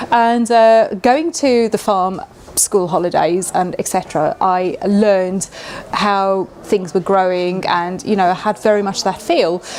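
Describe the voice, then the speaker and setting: Amid noticeable background noise, a woman talks at a fairly slow pace in a medium pitch with ordinary pitch variation. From South Africa. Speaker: chef and cookbook author. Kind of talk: interview. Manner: hesitant fillers.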